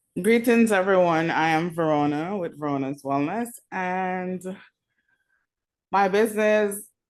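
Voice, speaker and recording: A woman with a Jamaican accent at medium pitch, fairly slow with long, frequent pauses, ordinary pitch variation, and a quiet background. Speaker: wellness business owner. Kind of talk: networking call self-introduction. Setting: video call.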